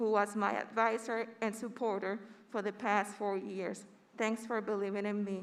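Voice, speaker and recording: With a Spanish accent, a woman speaks at a moderate pace in a monotone, flat intonation. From Puerto Rico. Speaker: graduating student speaker. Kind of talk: commencement speech. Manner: formal.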